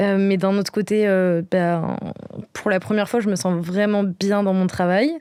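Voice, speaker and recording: A woman's medium-pitched voice, dark, mellow tone and fairly even intonation. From Brittany, France. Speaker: podcast guest. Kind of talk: casual interview. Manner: hesitant, many fillers.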